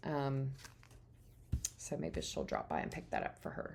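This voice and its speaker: Audible room echo follows a woman as she speaks. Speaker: crafter and printable designer. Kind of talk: craft tutorial. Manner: casual, chatty.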